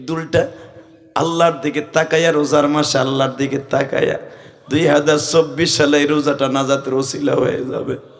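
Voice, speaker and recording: A man speaks with a fairly high pitch. Noticeable background noise and audible room echo are present. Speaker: Islamic preacher. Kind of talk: sermon. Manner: animated.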